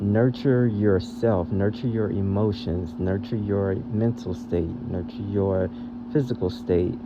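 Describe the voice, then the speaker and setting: Loud and at a very slow pace, a man with a fairly low pitch and ordinary pitch variation speaks amid noticeable background noise and audible room echo. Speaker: spiritual tarot reader. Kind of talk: channelled reading for viewers. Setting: audio-only podcast recording.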